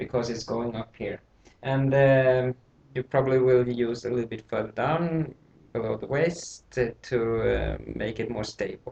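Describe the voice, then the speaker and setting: A man with a non-native accent speaks at a fairly slow pace in a somewhat breathy voice. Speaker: tailor. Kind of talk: tutorial. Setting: home, late at night. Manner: hesitant, with many fillers. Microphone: laptop mic.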